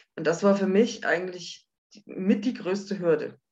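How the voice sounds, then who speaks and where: At a moderate pace, a woman with an ordinary speaking voice talks at a medium pitch. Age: 50s. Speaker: widow sharing personal story. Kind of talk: interview testimony.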